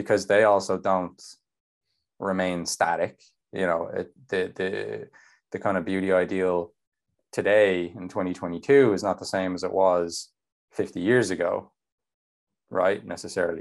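A man with an Irish accent and a very deep, low pitch, moderate pace, fairly even intonation and long, frequent pauses against a quiet background. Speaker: nutrition coach. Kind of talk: casual chat.

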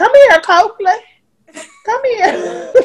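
A woman puts on a character voice. It is squeaky and extremely high-pitched. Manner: calling a dog.

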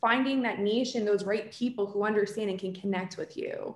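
A woman's plain, everyday voice, fairly high in pitch, with an American accent, a fairly quick pace and ordinary pitch variation. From New Jersey. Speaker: PR agency founder. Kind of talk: casual interview.

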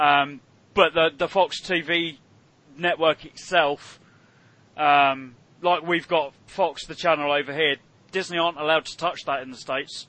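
A man with a British accent speaks at a fairly slow pace in a fairly high pitch, with monotone, flat intonation. He leaves long, frequent pauses, and his loudness swings widely. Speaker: podcast host. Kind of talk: casual chat.

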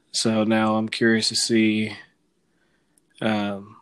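With an American accent, a man speaks at a fairly low pitch. The recording is very clean with a silent background. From Sacramento, California. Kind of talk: casual chat.

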